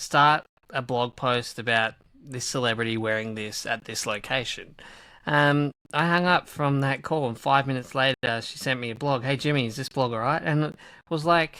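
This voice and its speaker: A man with an Australian accent speaks at medium pitch and a moderate pace. His tone is bright and sharp, with ordinary pitch variation. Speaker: e-commerce marketer. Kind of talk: casual chat. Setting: remote recording.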